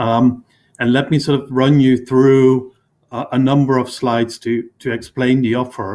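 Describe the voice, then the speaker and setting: This is a man at a medium pitch. His intonation is monotone and flat. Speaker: government climate official presenting remotely. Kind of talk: conference presentation. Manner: fast; hesitant, many fillers.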